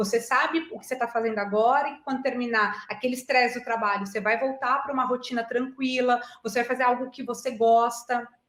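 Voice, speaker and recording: Speaking at a fairly quick pace with hardly any pauses, a woman's voice sits at a high pitch. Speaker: agile and digital transformation specialist. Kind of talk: online talk answering audience questions. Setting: online video meeting. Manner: animated.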